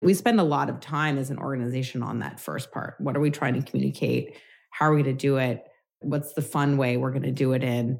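Her very deep, low voice carrying vocal fry, a woman talks at a very fast pace with fairly even intonation. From New York City. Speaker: company executive. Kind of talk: interview conversation. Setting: video call from home.

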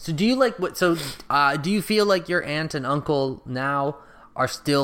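A plain, everyday voice speaks with an American accent at a fairly quick pace and lively intonation. The recording is very clean, with a silent background. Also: man. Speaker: podcast host. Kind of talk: casual chat.

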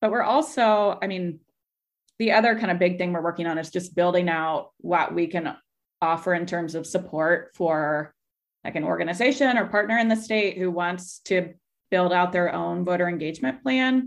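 A woman with an American accent and a normal speaking voice talks at a moderate pace, with a fairly low pitch and ordinary pitch variation, against a quiet background. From Kansas, US Midwest. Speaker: voter organization director. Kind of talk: casual interview chat.

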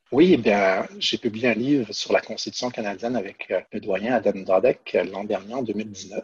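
With hardly any pauses, a man talks at a fairly slow pace in a normal speaking voice, fairly low in pitch with ordinary pitch variation. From Quebec City. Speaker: law professor. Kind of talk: podcast interview.

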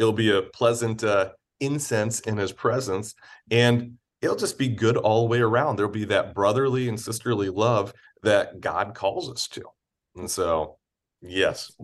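With an American accent, a man speaks fairly slowly at a medium pitch with ordinary pitch variation in an unremarkable speaking voice over a quiet background. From Michigan, Detroit area until 12, then Missouri. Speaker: charity executive and former campus pastor. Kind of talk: casual interview.

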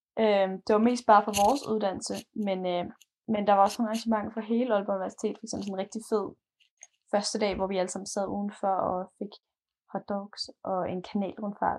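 Her delivery is fairly quick yet monotone and flat, broken by long, frequent pauses. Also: medium pitch for a woman. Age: 20s. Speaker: university student. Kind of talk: casual interview. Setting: recorded remotely, separate rooms.

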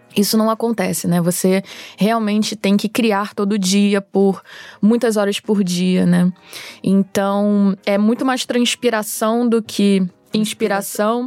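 A woman speaks very slowly at a medium pitch, her loudness very even. Her intonation is monotone and flat, and the sound is dry and close with no echo. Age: 30s. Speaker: screenwriter. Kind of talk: casual chat.

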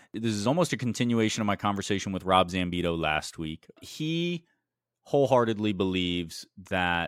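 In a very clean recording with a silent background and a dry, close sound with no echo, a man speaks in a normal speaking voice at a fairly low pitch and a moderate pace. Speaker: podcast host. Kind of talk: casual podcast interview.

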